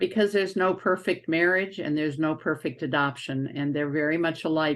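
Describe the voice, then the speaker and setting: A woman speaks with a very deep, low pitch. Her pace is fairly quick. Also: ordinary pitch variation, quiet background. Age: 80s+. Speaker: adoption social worker, interviewer. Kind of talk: interview.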